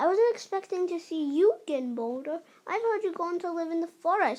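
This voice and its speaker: Using a put-on character voice, a woman projects with a raised voice at an extremely high pitch and a fairly quick pace. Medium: read story. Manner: cold, sneering.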